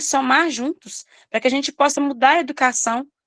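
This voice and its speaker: Her pitch is high for a woman, and her pace is moderate. The sound is dry and close, with no echo. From Minas Gerais, Brazil. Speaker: preschool teacher. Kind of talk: study group discussion.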